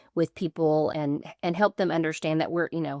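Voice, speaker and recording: With a Southern US accent, a woman speaks at a very deep, low pitch and a fairly quick pace. Her intonation is fairly even, and the sound is dry and close with no echo. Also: quiet background. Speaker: legal business coach and consultant. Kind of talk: podcast interview.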